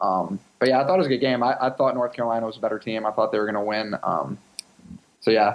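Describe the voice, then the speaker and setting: A man with an American accent talks at a very fast pace, his pitch varying in an ordinary way over noticeable background noise. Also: medium pitch for a man. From Chicago, US Midwest. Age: 20s. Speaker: professional soccer player. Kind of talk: interview. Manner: halting, many fillers.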